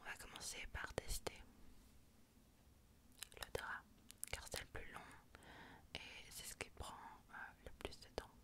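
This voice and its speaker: A woman whispers at a fairly slow pace, with long, frequent pauses breaking up her words. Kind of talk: ASMR medical role-play, soft-spoken consultation. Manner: soft-spoken, whispering.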